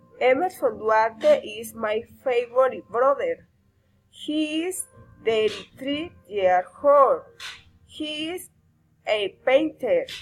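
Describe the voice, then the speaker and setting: With music in the background, a woman with a high pitch speaks at a very slow pace, her intonation lively, her loudness swinging widely, and her pauses long and frequent. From Colombia (Barrancabermeja). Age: 30s. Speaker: language student. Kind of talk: reading aloud.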